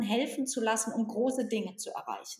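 A somewhat breathy voice at a moderate pace. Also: woman. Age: 40s. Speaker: organisational consultant and author. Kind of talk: interview.

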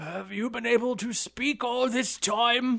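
A man's put-on character voice, extremely high in pitch, delivered at a fairly slow pace

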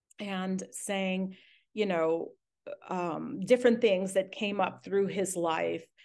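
Very slow speech from a woman at a medium pitch, over a quiet background. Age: 50s. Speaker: podcast host interviewing guests. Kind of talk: casual interview chat. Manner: animated.

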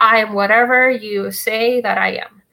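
Her voice high in pitch, a woman with a Russian accent talks in a bright, sharp tone. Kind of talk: casual chat.

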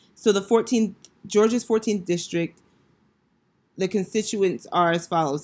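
A woman talks at a moderate pace. The recording is very clean, with a silent background. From Northern Virginia. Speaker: podcast host and teacher. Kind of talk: casual educational monologue.

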